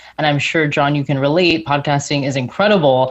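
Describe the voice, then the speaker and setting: At a fairly quick pace, a woman with an American accent talks in a very deep, low pitch, keeping her intonation fairly even. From Florida, US. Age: 30s. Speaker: mindset and podcast coach. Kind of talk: podcast interview.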